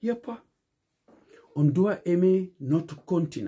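In a West African accent, a man with a high pitch and a dark, mellow tone speaks at a very slow pace against a quiet background. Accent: West African Fula-accented French. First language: Fula (Pular) (speaking French). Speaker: community speaker; speaker. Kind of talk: video monologue appeal. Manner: impassioned. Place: home room. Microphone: phone near.

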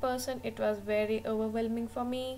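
Over music in the background, a woman talks at a moderate pace with monotone, flat intonation. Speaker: travel vlogger. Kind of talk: voice-over travel narration.

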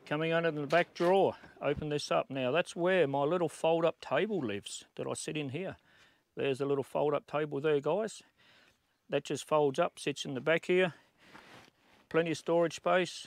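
A man talks with ordinary pitch variation. His speech is broken by long, frequent pauses. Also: moderate pace, dry sound with no echo. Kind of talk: casual walkthrough tour. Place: open country. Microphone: phone near.

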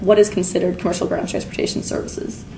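Light background noise is present. Through it comes a woman's voice. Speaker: conference presenter. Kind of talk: conference presentation. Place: hall.

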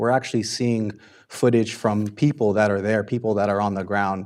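A man's fairly low voice in an American accent, dark and mellow in tone, with fairly even intonation. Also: very clean recording, silent background. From Southern California. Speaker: public commenter. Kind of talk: public comment at council meeting. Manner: halting, many fillers.

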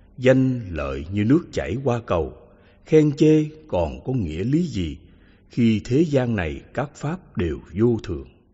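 Somewhat breathy and at a very slow pace, a man's medium-pitched voice swings very widely in pitch. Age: 80s+. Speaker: Buddhist monk teacher. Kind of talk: reading aloud.

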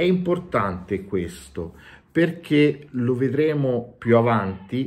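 A man's very slow delivery with very wide pitch swings. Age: 40s. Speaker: YouTuber and tabletop game master; YouTuber. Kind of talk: game review monologue. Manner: animated. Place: home room. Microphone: phone near.

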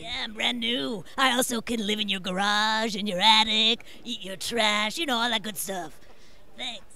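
A cartoonish character voice with a fairly high pitch goes at a moderate pace over clear background noise. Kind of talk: playful character voice in interview. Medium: puppet show. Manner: chummy, cheerful, jokey. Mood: playful, humorous.

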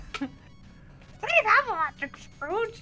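Over clear music in the background, a put-on character voice speaks at an extremely high pitch. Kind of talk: casual gameplay commentary. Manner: cartoonish, pleading. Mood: amused, laughing.

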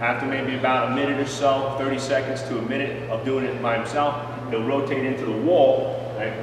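A man speaks at a fairly quick pace. There is strong room echo and noticeable background noise. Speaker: strength coach. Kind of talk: tutorial. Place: gym. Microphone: camera far.

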